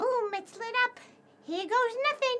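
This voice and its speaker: A woman puts on a squeaky character voice at an extremely high pitch. She talks at a moderate pace with ordinary pitch variation. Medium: actual play. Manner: chatty, colloquial.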